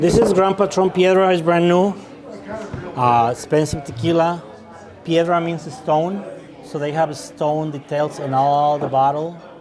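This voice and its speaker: Through audible room echo and noticeable background noise, a man with a fairly high voice speaks at a fairly slow pace, leaving long, frequent pauses. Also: ordinary pitch variation. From Mexico, Jalisco. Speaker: restaurant owner and tequila expert. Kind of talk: tasting class. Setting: restaurant. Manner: halting, many fillers.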